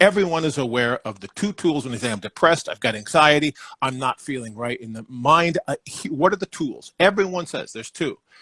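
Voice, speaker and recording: A man with a fairly high pitch, a bright, sharp tone, lively intonation and big swings in loudness, at a fairly quick pace with hardly any pauses, in a dry, close sound with no echo over a silent background on a very clean recording. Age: 60s. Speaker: founder of a brain health company. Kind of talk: interview.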